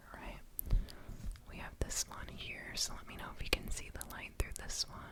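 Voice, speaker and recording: In a whisper at a moderate pace, someone speaks with noticeable noise in the background. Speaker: ASMR creator. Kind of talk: ASMR personal attention roleplay. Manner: whispered, soft-spoken.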